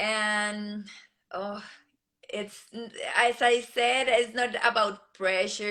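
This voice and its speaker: With a Colombian accent, a woman speaks at a medium pitch in a bright, sharp tone, her intonation flat and monotone. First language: Spanish. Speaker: beauty pageant contestant. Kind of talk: interview. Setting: live video stream. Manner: halting.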